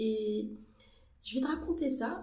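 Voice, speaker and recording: A woman speaks at a high pitch with ordinary pitch variation. Room echo is audible. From Algeria, Algiers. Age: 20s. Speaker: journalist and actress. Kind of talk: podcast interview. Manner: hesitant, many fillers.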